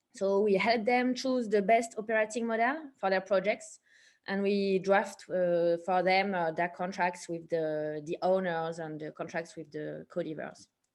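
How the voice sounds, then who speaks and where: A woman of medium pitch talks with a French accent against a quiet background. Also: ordinary pitch variation, fairly slow pace. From France. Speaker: lawyer. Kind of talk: panel discussion. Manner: hesitant, many fillers.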